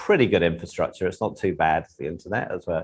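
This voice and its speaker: A man is heard in a very clean recording where the background is silent. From England. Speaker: tech company executive. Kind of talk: podcast interview.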